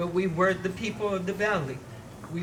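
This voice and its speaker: A man with an American accent speaks in a high pitch. The room echo is audible. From San Francisco, US West Coast. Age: 60s. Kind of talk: ceremonial speech.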